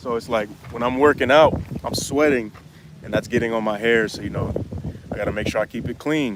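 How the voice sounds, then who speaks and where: This man talks at a medium pitch and a fairly quick pace, with fairly even intonation and a relaxed tone. He leaves long, frequent pauses, and background noise is noticeable. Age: 20s. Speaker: YouTuber answering viewer questions. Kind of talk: livestream Q&A. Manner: casual, relaxed.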